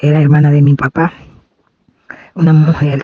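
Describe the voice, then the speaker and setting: A woman's somewhat breathy, dark and mellow voice, dry and close with no echo. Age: 70s. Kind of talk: testimony.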